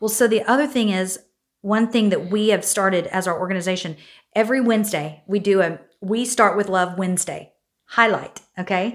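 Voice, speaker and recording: The recording is very clean, with a silent background. A woman speaks at a moderate pace and a medium pitch with ordinary pitch variation. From Oklahoma. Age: 40s. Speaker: nonprofit leader and singer. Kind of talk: casual interview. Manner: animated.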